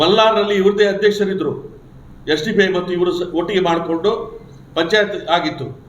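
Fairly even, high-pitched speech from a man, with audible room echo and noticeable background noise. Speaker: politician. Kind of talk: press conference.

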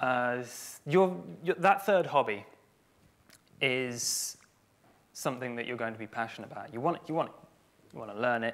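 There are long, frequent pauses as a man speaks at a moderate pace. His intonation is lively. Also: medium pitch for a man, big swings in loudness. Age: 20s. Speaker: community manager; conference speaker. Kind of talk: conference talk. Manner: halting. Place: stage.

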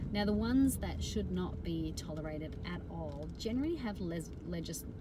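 A woman keeps a moderate pace as loud background noise fills the recording. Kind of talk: casual talk on workplace culture. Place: car. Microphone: phone near.

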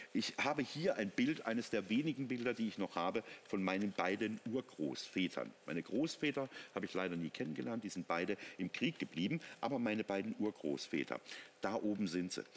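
Fairly low-pitched and animated, a man talks at a fairly quick pace with very wide pitch swings. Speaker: technology product expert. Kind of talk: teleshopping product demonstration.

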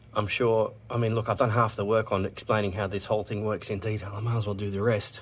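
Fairly quick speech from a man with a fairly low pitch, amid noticeable background noise. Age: 40s. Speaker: car repair youtuber. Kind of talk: tutorial. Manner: casual, halting.

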